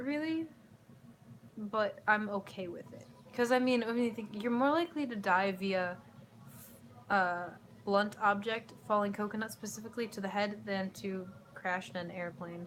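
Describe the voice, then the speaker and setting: A woman with an American accent talks at a moderate pace and medium pitch, with ordinary pitch variation. Her loudness swings widely, and she leaves long, frequent pauses. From US Midwest, Chicago. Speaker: YouTuber. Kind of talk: casual Q&A vlog. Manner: casual, rambling with fillers.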